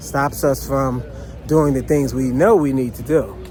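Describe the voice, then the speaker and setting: Crowd noise fills the background as a man speaks at a fairly slow pace with audible room echo. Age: 50s. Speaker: financial educator, formerly incarcerated. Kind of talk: motivational talk. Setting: outdoors, walking in a park. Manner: conversational, repetitive.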